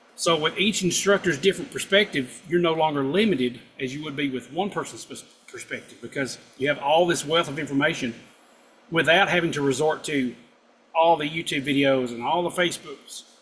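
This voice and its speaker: A man speaks with a strong Southern US accent in a fairly high voice. His pitch varies in an ordinary way, and his loudness swings widely. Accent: thick southern drawl. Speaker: guitar instructor. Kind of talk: live stream chat. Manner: casual, hesitant with fillers.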